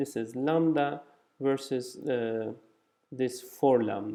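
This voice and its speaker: A man is speaking. His pace is very slow. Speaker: physicist presenting research. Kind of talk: conference talk. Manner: halting, many fillers.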